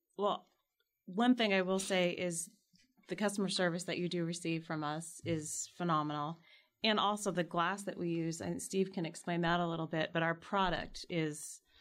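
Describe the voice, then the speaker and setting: A woman with a normal speaking voice talks at a moderate pace in a fairly low pitch with fairly even intonation, on a very clean recording with a silent background. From Arizona, Tucson. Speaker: glass company account representative. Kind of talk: interview. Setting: studio.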